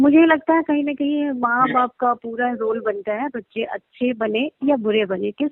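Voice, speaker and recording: Her voice is high-pitched, and this woman varies her pitch in an ordinary way. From Nepal. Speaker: assistant film director. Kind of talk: interview. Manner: halting, with fillers.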